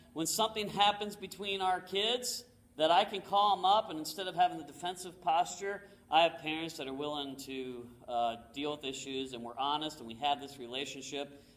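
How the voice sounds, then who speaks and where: Noticeable background noise under a man's high voice, its pitch varying in an ordinary way. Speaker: motivational speaker. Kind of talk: talk to an audience. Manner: fast.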